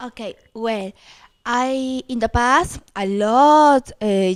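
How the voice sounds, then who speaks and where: Against a silent background in a very clean recording, a woman with a Peruvian accent speaks at a very slow pace. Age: 40s. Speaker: dating agency client. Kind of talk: video introduction interview. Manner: halting.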